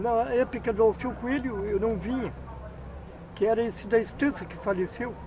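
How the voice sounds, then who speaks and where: A man with a high pitch talks at a moderate pace and ordinary pitch variation. The sound is dry with no echo, with noticeable background noise. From Candiota, Rio Grande do Sul, Brazil. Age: 50s. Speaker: local popular figure interviewed. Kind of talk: interview answer. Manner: rambling storytelling. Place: open country.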